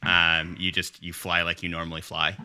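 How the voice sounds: A man's low-pitched voice with a clear, smooth tone that is also bright and sharp, monotone, flat intonation, and a moderate pace.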